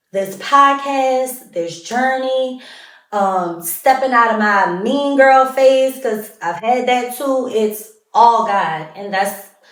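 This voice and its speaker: The speech goes at a very slow pace with ordinary pitch variation and audible room echo. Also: woman, high pitch for a woman. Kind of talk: casual monologue. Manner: loud.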